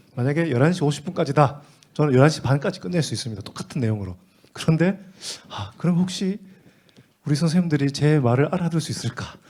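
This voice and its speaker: A man's somewhat breathy, fairly high voice at a very fast pace, with long, frequent pauses. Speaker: teacher training instructor. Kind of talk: teacher training lecture.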